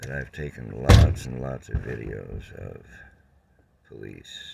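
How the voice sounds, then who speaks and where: Amid noticeable background noise, a man talks at a fairly slow pace with a very deep, low pitch. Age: 70s. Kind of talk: casual talk to camera.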